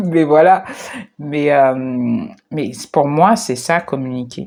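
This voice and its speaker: A woman's very deep, low voice with ordinary pitch variation, on a very clean recording against a silent background. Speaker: spiritual coach / video creator. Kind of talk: reflective monologue to camera. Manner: slow; hesitant, stammering.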